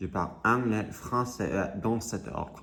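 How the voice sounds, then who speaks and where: A man speaks at a very slow pace in an American accent. Audible room echo surrounds his voice. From US. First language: English (speaking French). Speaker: vlogger. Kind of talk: casual vlog monologue. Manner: halting, many hesitations.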